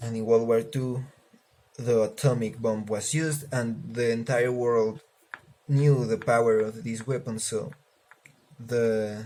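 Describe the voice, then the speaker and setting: A man speaks with a Spanish accent. His pace is fairly slow and his intonation fairly even. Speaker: student. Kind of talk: class assignment video presentation. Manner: casual, halting with fillers.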